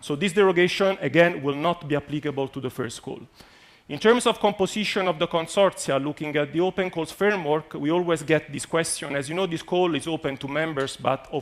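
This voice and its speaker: A man talks at a fairly quick pace with a fairly high pitch. His pitch varies in an ordinary way. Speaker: EU program official presenting a funding call. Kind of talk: conference presentation. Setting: conference venue with live and online audience. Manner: fast.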